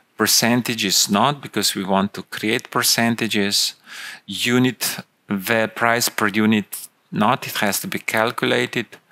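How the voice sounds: Fairly even intonation runs through a bright, sharp tone. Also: man, fairly low pitch for a man, fairly slow pace.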